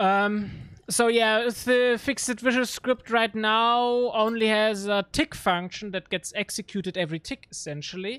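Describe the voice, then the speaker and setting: The speaker has a German accent and a fairly slow pace. The recording is very clean, with a silent background. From Germany, Regensburg area. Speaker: gaming streamer. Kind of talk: live gameplay stream. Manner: casual, halting with fillers.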